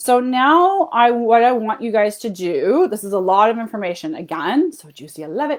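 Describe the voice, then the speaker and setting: A woman with a Canadian accent, animated in tone, at a moderate pace with hardly any pauses and very wide pitch swings. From Canada. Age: 40s. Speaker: health and fat loss coach. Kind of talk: live webinar training. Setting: Facebook livestream.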